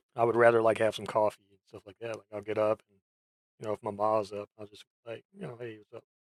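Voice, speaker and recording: Delivery is very fast, with monotone, flat intonation and big swings in loudness. The sound is dry and close, without echo. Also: man, fairly low pitch for a man. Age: adult, ten years in same job. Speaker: vtuber streamer. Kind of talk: casual chat. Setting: voice chat stream.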